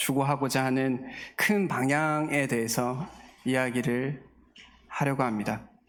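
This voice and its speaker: A man's medium-pitched voice with a slight Daegu accent, very slow with long, frequent pauses and ordinary pitch variation, in audible room echo. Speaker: guest pastor. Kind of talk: sermon. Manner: halting, many filler sounds.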